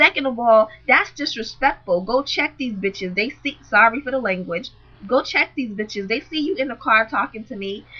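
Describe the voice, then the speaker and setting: The speaker has an American accent, ordinary pitch variation and a moderate pace, with noticeable background noise. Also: woman, fairly high pitch for a woman. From Boston, US. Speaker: vlogger. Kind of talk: storytelling vlog. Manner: animated.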